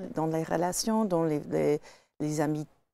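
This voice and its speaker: A woman speaks in a fairly low voice with a dark, mellow tone and ordinary pitch variation. The sound is dry, with no echo. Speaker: jazz singer. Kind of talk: casual chat. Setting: studio. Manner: halting. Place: studio.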